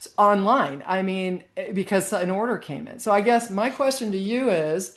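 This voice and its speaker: A woman with an unremarkable speaking voice talks at a moderate pace in a medium pitch, her intonation lively and her loudness swinging widely. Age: 60s. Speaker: podcast co-host, charcuterie business coach. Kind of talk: casual chat.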